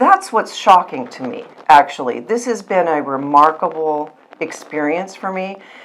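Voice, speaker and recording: A woman with a fairly low pitch speaks at a moderate pace with lively intonation and big swings in loudness. Noticeable background noise can be heard. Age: 60s. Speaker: patient sharing testimonial. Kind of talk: testimony. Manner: halting.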